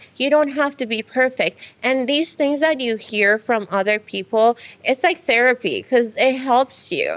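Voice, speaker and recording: In an Iranian accent, a woman speaks at a high pitch with lively intonation. Her pace is fairly slow, and the sound is dry and close with no echo. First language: Farsi. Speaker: dentist and business owner. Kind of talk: interview. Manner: hesitant, many fillers.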